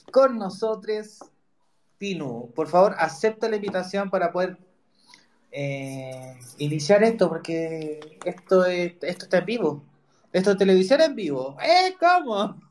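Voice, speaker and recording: A man with a high-pitched voice talks at a fairly slow pace with lively intonation. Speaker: podcast host. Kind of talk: casual chat. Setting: Twitter Spaces audio room.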